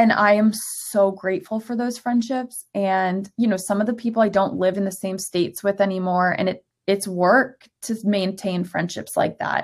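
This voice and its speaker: A woman with an ordinary speaking voice and an American accent, medium in pitch, at a moderate pace with hardly any pauses and fairly even intonation, on a very clean recording with a silent background. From Florida. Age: 30s. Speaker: lifestyle blogger. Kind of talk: casual chat.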